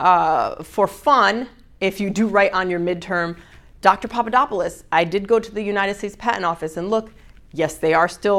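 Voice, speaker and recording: Speaking at a fairly quick pace, a woman uses a medium pitch. Her pitch variation is ordinary. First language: not English. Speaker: university lecturer. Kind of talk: lecture. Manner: casual, conversational.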